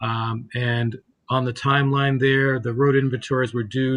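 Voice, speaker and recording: A man talks at a moderate pace with a medium pitch. His intonation is monotone and flat, and his voice is somewhat breathy. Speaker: state environmental program official. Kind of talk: committee testimony presentation.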